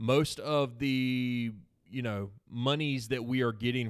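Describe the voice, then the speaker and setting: A man at medium pitch in a Southern US accent, on a very clean recording with a silent background. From South Carolina (Seneca). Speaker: nonprofit staff member. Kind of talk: casual interview.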